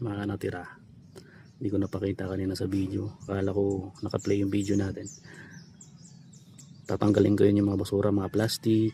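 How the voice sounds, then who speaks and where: A man speaks at a fairly low pitch in a dark, mellow tone that is somewhat breathy and monotone. His pace is fairly quick, broken by long, frequent pauses. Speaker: vlogger. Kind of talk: casual vlog narration.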